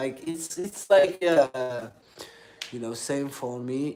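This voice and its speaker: A man speaks at a very slow pace in a Middle Eastern accent. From Algeria. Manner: hesitant, many fillers.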